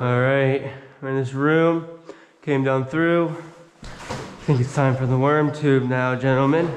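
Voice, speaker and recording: Over light background noise, a man speaks at a fairly slow pace in a monotone, flat intonation. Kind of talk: casual vlog chat. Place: tunnel cave. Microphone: phone near.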